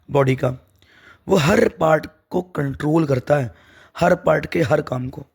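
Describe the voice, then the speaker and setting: A man's somewhat breathy, fairly high-pitched voice with ordinary pitch variation. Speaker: teacher. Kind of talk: lecture.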